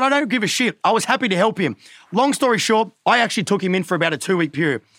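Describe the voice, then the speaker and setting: On a very clean recording with a silent background, a man with an Australian accent talks at a very fast pace in a high pitch, his bright, sharp tone animated and his intonation lively. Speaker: social media influencer. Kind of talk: casual chat. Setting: studio.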